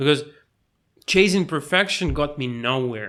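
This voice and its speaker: The recording is very clean, with a silent background. A man speaks in a bright, sharp tone with ordinary pitch variation. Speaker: YouTuber. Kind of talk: casual monologue to camera. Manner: halting, self-interrupting.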